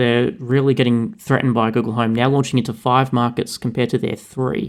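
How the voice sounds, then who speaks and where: A man speaks at a fairly quick pace with an Australian accent, his intonation fairly even and his loudness very even. The recording is very clean, with a silent background. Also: medium pitch for a man. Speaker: podcast co-host. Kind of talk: casual chat.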